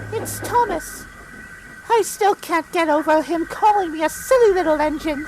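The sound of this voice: In a put-on character voice of extremely high pitch, the speaker talks at a moderate pace over clear background noise.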